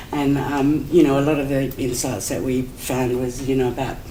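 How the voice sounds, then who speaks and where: Against noticeable background noise, a woman with an Australian accent speaks at a moderate pace in a very deep, low pitch. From Adelaide, South Australia. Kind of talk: conference talk. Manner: hesitant, conversational.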